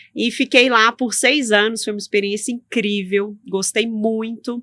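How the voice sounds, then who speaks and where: Spoken in a Minas Gerais accent at a fairly slow pace, the voice has a bright, sharp tone and fairly even intonation. The sound is dry and close, with no echo. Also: woman, fairly high pitch for a woman. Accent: Minas Gerais accent, persistent. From Minas Gerais, Brazil. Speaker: tax lawyer. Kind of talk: interview.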